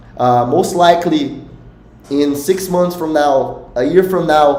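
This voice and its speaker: Amid noticeable background noise and audible room echo, a man with a Portuguese accent speaks at a fairly slow pace and fairly high pitch with ordinary pitch variation. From Brazil. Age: 20s. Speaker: poker coach. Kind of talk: live stream talk. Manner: halting.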